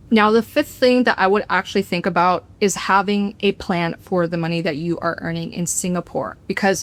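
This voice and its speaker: This woman has a plain, everyday voice at medium pitch, with ordinary pitch variation. She talks at a moderate pace with hardly any pauses, in a very clean recording with a silent background. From United States. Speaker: expat vlogger. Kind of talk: casual explainer to camera.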